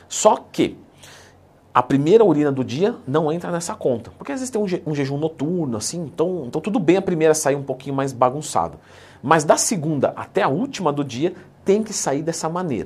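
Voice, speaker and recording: The speaker has an animated tone and lively intonation at a moderate pace. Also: man, fairly high pitch for a man. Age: 30s. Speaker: fitness coach YouTuber. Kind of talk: tutorial. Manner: casual, animated.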